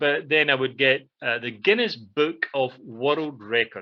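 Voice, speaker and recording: This is a man. He has a Scottish accent. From central Scotland, near Glasgow. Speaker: radio show co-host. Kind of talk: casual chat. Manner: halting, many fillers.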